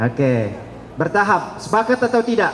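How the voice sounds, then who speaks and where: Speaking with an Arabic accent, a man swings his pitch very widely over noticeable background noise. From Saudi Arabia (Mecca). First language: Arabic (speaking Indonesian). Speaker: Islamic preacher. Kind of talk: religious lecture to students. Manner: interactive, asks audience questions.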